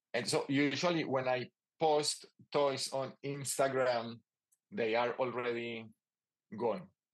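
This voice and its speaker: With a Spanish accent, a man talks at a very slow pace and a medium pitch, leaving long, frequent pauses. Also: ordinary pitch variation. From Colombia. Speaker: toy maker and artist. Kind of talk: casual interview. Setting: remote call.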